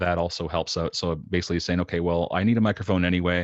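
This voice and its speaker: This speaker has a Canadian accent and ordinary pitch variation. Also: man. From Canada. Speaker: podcaster and designer. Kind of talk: casual interview chat. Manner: quiet, soft-spoken; halting, many fillers.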